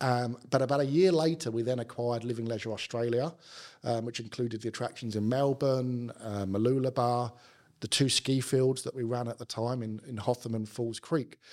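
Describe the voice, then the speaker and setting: A man with a South London accent, fairly even intonation and a moderate pace. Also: medium pitch for a man. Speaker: business executive. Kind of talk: casual interview chat.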